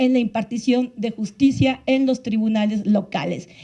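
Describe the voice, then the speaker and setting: A woman speaks at a fairly slow pace in a dark, mellow tone with fairly even intonation. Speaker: panelist from a women's justice NGO. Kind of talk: panel talk.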